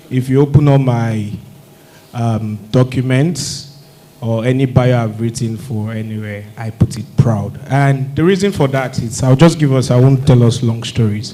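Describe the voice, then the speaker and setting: Amid noticeable background noise and audible room echo, a man talks at a fairly slow pace with a medium pitch and ordinary pitch variation. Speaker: alumnus speaker at industry event. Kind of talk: testimonial speech. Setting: stage with audience, mics off. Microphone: no microphone, mics are off.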